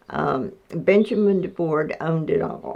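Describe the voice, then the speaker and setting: A woman with an Appalachian accent, at a very slow pace. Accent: Appalachian Southern US. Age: 80s+. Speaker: farm family elder. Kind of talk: interview.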